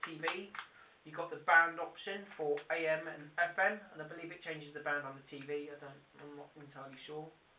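With audible room echo and light background noise, the speech carries fairly even intonation. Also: man. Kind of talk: tutorial. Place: home room. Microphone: camera far.

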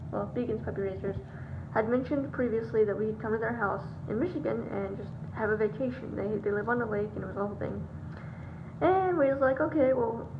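A woman's voice over noticeable background noise. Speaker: vlogger. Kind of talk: casual vlog chat. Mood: chatty, light. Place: home room. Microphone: phone near.

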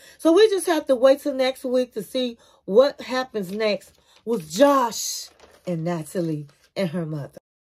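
A woman's high-pitched voice sounds animated. It shows very wide pitch swings and big swings in loudness. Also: fairly slow pace. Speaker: TV review youtuber. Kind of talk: casual TV show review commentary. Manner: animated, chatty. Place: home room. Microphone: phone near.

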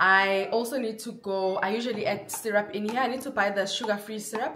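Noticeable background noise accompanies a woman who speaks fairly quickly. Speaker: vlogger. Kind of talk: casual vlog chat. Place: kitchen.

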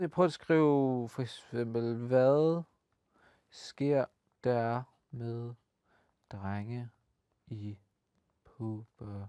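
A man speaks at a very slow pace in a dark, mellow tone with ordinary pitch variation, long, frequent pauses, and big swings in loudness. The sound is dry with no echo, and the background is quiet. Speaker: children's TV host. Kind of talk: casual presenting to kids. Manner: animated. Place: studio. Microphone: lapel.

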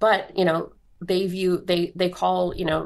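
Against a quiet background, a woman with an American accent talks at a fairly slow pace and medium pitch. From US Midwest (Indiana). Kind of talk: interview. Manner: hesitant, frequent um fillers.

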